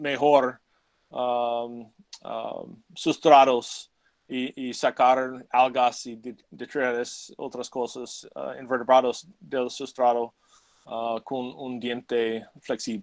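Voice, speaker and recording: Speaking at a very slow pace, a man has a non-native accent. The sound is dry and close, with no echo. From United States. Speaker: ichthyologist giving a talk. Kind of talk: lecture. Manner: halting, many fillers.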